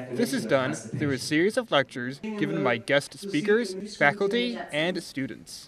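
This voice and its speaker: A man talks at a moderate pace with very wide pitch swings. Background noise is noticeable. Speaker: student TV reporter and anchor. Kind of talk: TV news report.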